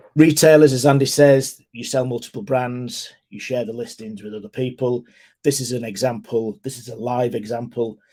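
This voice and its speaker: Speaking with a British accent, a man has a dark, mellow tone and fairly even intonation. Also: medium pitch for a man, big swings in loudness. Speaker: ecommerce consultant. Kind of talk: webinar presentation. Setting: online webinar. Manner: fast.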